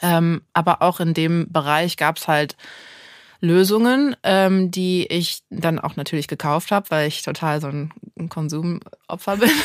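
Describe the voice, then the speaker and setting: In a very clean recording with a silent background, a woman speaks at fairly low pitch with a normal speaking voice. Her pace is fairly slow, her pitch variation ordinary, and the sound dry and close with no echo. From Düsseldorf, Germany and Santa Barbara, California. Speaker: start-up founder. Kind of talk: interview.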